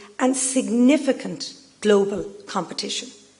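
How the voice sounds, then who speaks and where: Over noticeable background noise, a woman with a fairly high pitch speaks at a moderate pace in an Irish accent. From Ireland. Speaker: business executive. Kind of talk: speech. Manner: formal.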